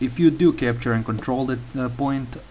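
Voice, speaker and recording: A man with a Slavic accent and medium pitch talks at a moderate pace, with audible room echo around him. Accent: Slavic accent, a little like Russian. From Croatia. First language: Croatian. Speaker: gaming tutorial maker. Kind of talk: tutorial. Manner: hesitant, many fillers.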